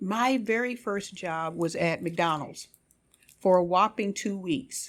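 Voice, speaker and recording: A woman of medium pitch with ordinary pitch variation and an American accent, on a very clean recording with a silent background. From US South, Richmond, Virginia. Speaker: health system HR executive. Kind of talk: interview. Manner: animated.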